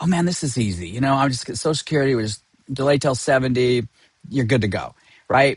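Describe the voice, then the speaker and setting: Talking at a very fast pace, a man uses a fairly high, somewhat breathy voice with lively intonation. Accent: American. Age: 60s. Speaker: financial advisor. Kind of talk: lecture. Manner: halting.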